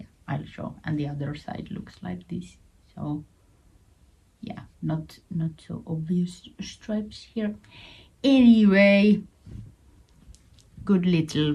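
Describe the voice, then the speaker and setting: A woman with a Finnish accent speaks very slowly with long, frequent pauses, her somewhat breathy voice dark and mellow, fairly low in pitch, with ordinary pitch variation. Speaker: knitting vlogger. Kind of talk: casual show-and-tell vlog. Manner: halting, repeats words.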